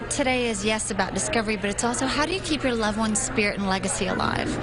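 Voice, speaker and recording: A woman talks at a very fast pace with music in the background. Her pitch is fairly high, with ordinary variation. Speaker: author. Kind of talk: live TV interview answer.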